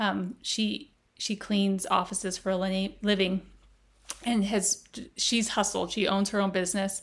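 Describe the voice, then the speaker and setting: In an American accent, a woman speaks at a fairly slow pace with a medium pitch, a monotone, flat intonation and very even loudness. Her voice is somewhat breathy, and the recording is very clean with a silent background. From Las Vegas, US. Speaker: healthcare operations executive. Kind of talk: casual interview chat. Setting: in person, seated next to host.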